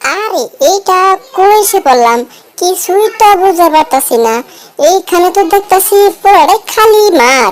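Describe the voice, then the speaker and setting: Put-on character voice, extremely high in pitch, delivered at a moderate pace. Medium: fan dub. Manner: bossy, excitable.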